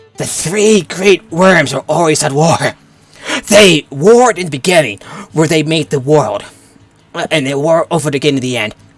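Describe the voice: Someone uses a put-on character voice at a moderate pace, with hissing and long, frequent pauses. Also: man, fairly high pitch for a man.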